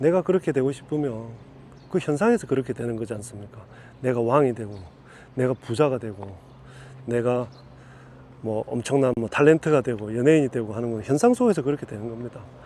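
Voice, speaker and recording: In a Gyeongsang accent, a man with a dark, mellow tone talks fairly quickly at a medium pitch, with ordinary pitch variation, big swings in loudness and long, frequent pauses. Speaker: Buddhist spiritual teacher. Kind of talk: dharma talk. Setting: outdoors.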